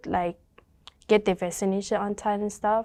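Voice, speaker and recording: On a very clean recording with a silent background, a woman with a Burmese accent speaks at medium pitch and a moderate pace, in a dark, mellow tone with fairly even intonation. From Thailand refugee camp, Karen ethnic. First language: Karen. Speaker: community worker with refugee families. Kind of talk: interview testimony. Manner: halting, with many fillers.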